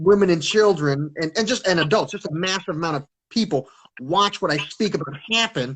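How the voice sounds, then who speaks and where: Loud, high-pitched man's voice at a fairly quick pace. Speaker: self-described teacher with online following. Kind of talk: casual chat. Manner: halting.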